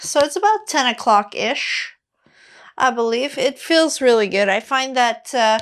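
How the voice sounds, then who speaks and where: Against a silent background in a very clean recording, a woman talks fairly slowly in a high voice with lively intonation. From Quebec. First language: Quebec French. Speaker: fitness coach. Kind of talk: follow-along exercise tutorial. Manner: casual, with many fillers.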